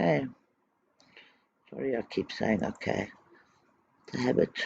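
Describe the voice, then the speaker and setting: Mumbled speech at a moderate pace. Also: man. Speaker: trading educator. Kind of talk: tutorial. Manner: mumbling.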